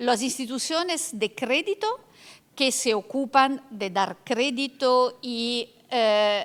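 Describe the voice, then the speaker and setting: A woman speaks with an Italian accent at a very slow pace. Her pitch is high and her intonation lively. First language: Italian (speaking Spanish). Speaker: law professor and panelist. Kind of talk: lecture. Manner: halting.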